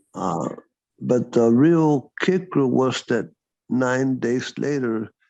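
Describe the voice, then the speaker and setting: Speaking very slowly with lively intonation, a man with a Texan accent holds a medium pitch. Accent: Texan American English. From Texas (Dallas area). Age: 60s. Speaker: former counselor. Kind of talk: interview testimony. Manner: halting.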